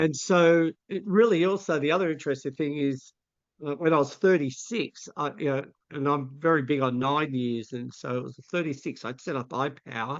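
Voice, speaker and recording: A man speaks in a plain, everyday voice, pitched fairly high, with ordinary pitch variation. His pace is moderate. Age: 60s. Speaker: vision educator and mentor. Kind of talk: interview conversation.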